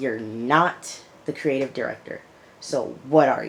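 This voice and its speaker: An animated tone with ordinary pitch variation. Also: woman. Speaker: YouTube TV reviewer. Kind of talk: casual vlog review. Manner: animated, repetitive.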